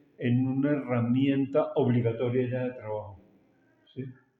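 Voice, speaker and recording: A man at a moderate pace, medium in pitch, with a monotone, flat intonation. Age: 70s. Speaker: architect and property appraiser. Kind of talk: interview. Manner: halting, with many repetitions and fillers.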